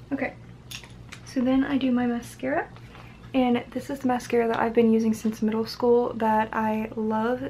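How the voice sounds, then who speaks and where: Soft-spoken and fairly high in pitch, a woman talks at a moderate pace with fairly even intonation over noticeable background noise. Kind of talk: ASMR makeup routine talking to camera.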